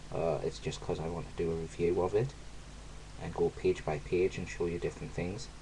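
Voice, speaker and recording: With a British accent and a very deep, low pitch, a man speaks at a fairly quick pace with very wide pitch swings over light background noise. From UK. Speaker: YouTuber. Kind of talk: unboxing video. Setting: home video recording. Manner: animated. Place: home room. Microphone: webcam.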